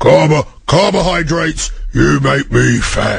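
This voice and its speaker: A man does a put-on character voice that sounds raspy, at a fairly slow pace. Light background noise can be heard. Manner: aggressive.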